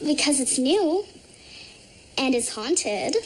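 A woman talks with lively intonation. Light background noise can be heard. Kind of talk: scripted drama dialogue. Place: home room.

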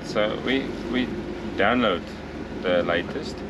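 A man talks over loud background noise. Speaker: sailing vlogger. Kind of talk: casual vlog tutorial. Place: boat. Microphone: phone near.

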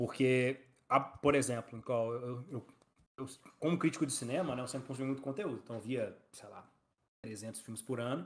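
A man speaks at a moderate pace in a medium pitch with ordinary pitch variation. His loudness swings widely, and long pauses come often. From Brazil, Belo Horizonte (Minas Gerais); Minas Gerais, Brazil. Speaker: startup co-founder and operations director; podcast guest. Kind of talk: casual interview. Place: home room.

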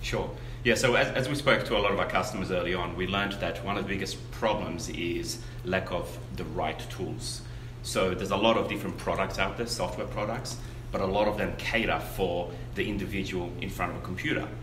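A man's fairly low voice at a fairly quick pace, with noticeable background noise. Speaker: guest. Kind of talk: interview answer. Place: meeting room.

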